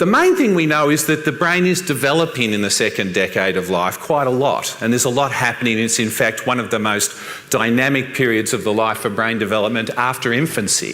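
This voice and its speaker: In an Australian accent, a man talks fairly quickly at a medium pitch with lively intonation, while noticeable background noise and audible room echo fill the recording. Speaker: professor. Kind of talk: conference talk.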